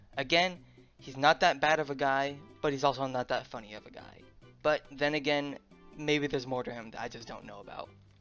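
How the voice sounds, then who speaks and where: Fairly quick speech with music in the background. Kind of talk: commentary voiceover. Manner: stuttering, tripping over words.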